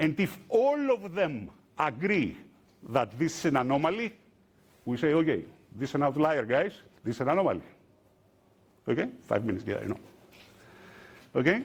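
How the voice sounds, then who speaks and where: A man speaks with a fairly high pitch, vocal fry and very wide pitch swings. Long, frequent pauses break up his speech. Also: moderate pace. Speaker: open source software developer, conference speaker. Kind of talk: conference talk. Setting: stage with audience.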